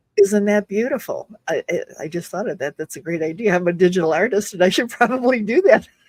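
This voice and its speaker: Speaking very fast with hardly any pauses, a woman uses lively intonation at medium pitch. The sound is dry and close, with no echo. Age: 70s. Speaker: community founder. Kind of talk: casual chat. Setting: live stream.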